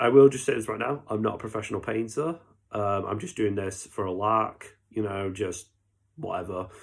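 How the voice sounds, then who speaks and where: A man with a British accent speaks in a fairly low voice with ordinary pitch variation. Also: moderate pace, very clean recording, silent background. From Britain. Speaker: miniature painting YouTuber. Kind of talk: unscripted casual tutorial commentary. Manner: hesitant, many fillers.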